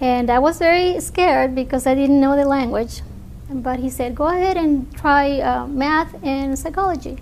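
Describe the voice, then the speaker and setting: With a Spanish accent, a woman talks in a high pitch with ordinary pitch variation, audible room echo and noticeable background noise. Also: moderate pace. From Mexico. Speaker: scientific researcher. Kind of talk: interview.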